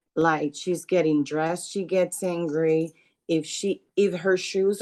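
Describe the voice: Slow and slightly mellow, a woman's fairly low voice shows ordinary pitch variation.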